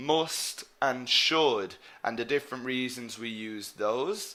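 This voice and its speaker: A man with an Irish accent, ordinary pitch variation and a very slow pace. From Ireland. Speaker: English teacher. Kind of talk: online lecture. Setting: live webinar.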